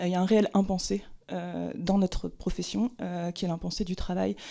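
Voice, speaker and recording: This woman's voice has a dark, mellow tone at a medium pitch, on a very clean recording with a silent background. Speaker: screenwriter testifying at a hearing. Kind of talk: formal testimony at a hearing. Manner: fast; hesitant, many fillers.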